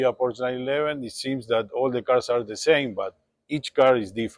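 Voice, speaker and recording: A man with a Spanish accent, medium pitch and fairly even intonation, in a dry, close sound with no echo. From Uruguay. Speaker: classic car dealer. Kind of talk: interview monologue.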